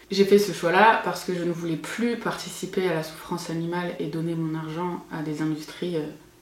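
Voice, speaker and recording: With noticeable background noise and audible room echo, the speaker keeps a moderate pace and fairly even intonation, hardly pausing at all. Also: woman, fairly low pitch for a woman. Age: 30s. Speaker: cooking youtuber. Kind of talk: vlog monologue.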